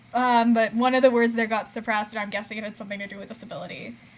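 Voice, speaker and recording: Noticeable background noise accompanies a woman with a fairly high pitch who speaks at a very fast pace. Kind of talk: casual livestream chat reading comments. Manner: speech sometimes garbled, words out of order.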